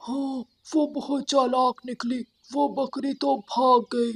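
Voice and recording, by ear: A cartoonish character voice speaks at a high pitch with monotone, flat intonation. The pace is very slow.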